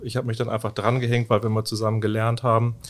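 A man's medium-pitched voice. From northern Germany, former inner-German border area. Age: 50s. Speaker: IT manager. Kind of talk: podcast interview.

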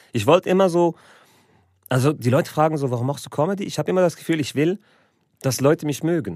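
Recorded very cleanly against a silent background, with a dry, close sound and no echo, a man with a fairly high pitch talks very fast, uses ordinary pitch variation, and leaves long, frequent pauses. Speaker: comedian and show host. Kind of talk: casual podcast chat. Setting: studio.

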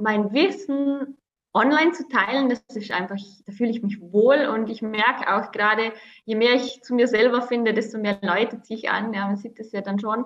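Here a woman speaks at a fairly high pitch. Her pace is moderate. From Austria, Vorarlberg near Swiss border. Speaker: entrepreneur and mother. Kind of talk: interview.

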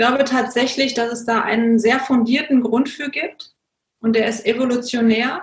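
Her loudness swings widely as this woman talks in a high pitch. She keeps a moderate pace and fairly even intonation. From Germany. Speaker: coach and consultant. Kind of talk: interview.

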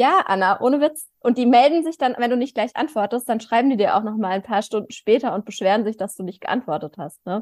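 A normal speaking voice from a woman, fairly high in pitch, moves at a fairly quick pace with lively intonation, recorded dry and close with no echo. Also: hardly any pauses. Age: 30s. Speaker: podcast co-host. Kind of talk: casual chat.

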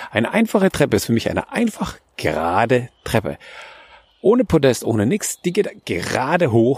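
A man speaks with very wide pitch swings. The sound is dry and close, with no echo. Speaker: architect and podcast host. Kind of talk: solo podcast monologue. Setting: outdoors walking in a forest. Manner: hesitant, with fillers and repetitions.

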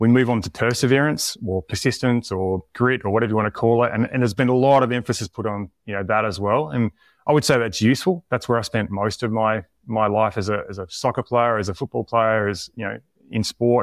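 In an Australian accent, a man talks at a fairly quick pace with a medium pitch and ordinary pitch variation, recorded very clean with a silent background and a dry, close sound with no echo. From Tasmania, Australia. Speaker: performance coach. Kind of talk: interview conversation.

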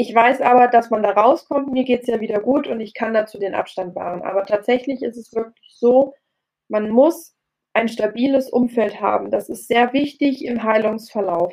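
With ordinary pitch variation, a woman uses an unremarkable speaking voice. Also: fairly high pitch for a woman, moderate pace. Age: 30s. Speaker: personal trainer. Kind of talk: interview. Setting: video call. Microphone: poorer audio over video call.

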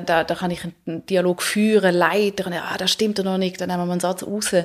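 This woman speaks at a medium pitch in a monotone, flat intonation. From Switzerland, Zurich (also Paris, Hamburg). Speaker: author and actress. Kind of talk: interview. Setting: studio.

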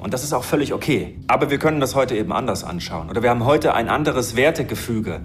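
A man talks at a very fast pace, with audible room echo. Music plays in the background. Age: 30s. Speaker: marine biologist and conservationist. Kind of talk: interview.

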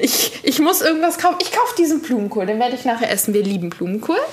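With noticeable background noise behind her, a woman speaks with very wide pitch swings. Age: 30s. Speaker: podcast co-host. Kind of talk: casual chat.

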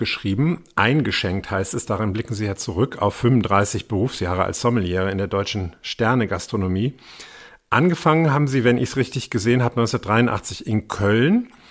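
A man with an ordinary speaking voice talks at a medium pitch and moderate pace, with ordinary pitch variation. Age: 50s. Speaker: podcast host and journalist. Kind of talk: casual interview.

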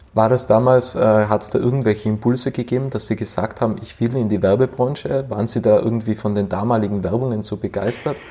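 A man's medium-pitched voice at a very fast pace, with hardly any pauses, fairly even intonation and noticeable background noise. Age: 20s. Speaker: podcast host. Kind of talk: interview.

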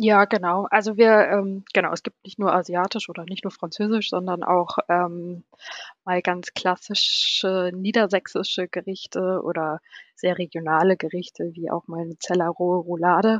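A woman's medium-pitched voice at a moderate pace, monotone and flat in intonation, with big swings in loudness. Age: 30s. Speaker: hotel service manager. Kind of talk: casual interview. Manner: hesitant, many fillers.

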